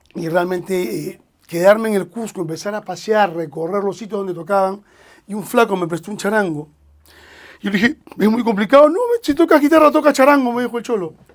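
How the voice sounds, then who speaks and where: A man with a high voice talks at a fairly quick clip, his intonation lively and his loudness swinging widely. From Peru, Lima (San Miguel, Callao area). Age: 60s. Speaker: singer-songwriter and music producer. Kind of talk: podcast interview, casual storytelling. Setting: studio.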